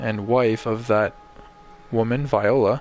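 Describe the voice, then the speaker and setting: A man's voice over music in the background. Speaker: gaming streamer. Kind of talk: live gameplay commentary. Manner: monotone; casual, hesitant fillers.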